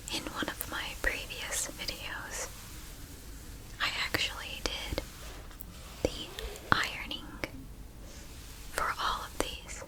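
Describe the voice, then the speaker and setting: Whispered speech from a woman, very slow and broken by long, frequent pauses, over clear background noise. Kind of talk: ASMR whispered talk while folding cloth. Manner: whispered, slow, soft.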